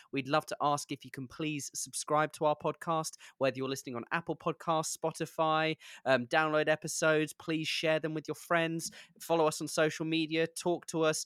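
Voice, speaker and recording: A man with a British accent speaks at a moderate pace, his pitch fairly high. The recording is very clean with a silent background, and the sound is dry and close with no echo. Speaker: podcast host and actor. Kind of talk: interview conversation.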